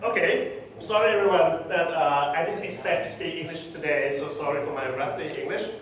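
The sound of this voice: A man speaks at a fairly quick pace with a fairly high pitch and ordinary pitch variation. Strong room echo fills the recording.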